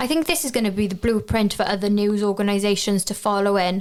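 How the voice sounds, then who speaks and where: In a Welsh accent, a woman of medium pitch speaks at a moderate pace. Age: 20s. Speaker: journalism graduate. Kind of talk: interview.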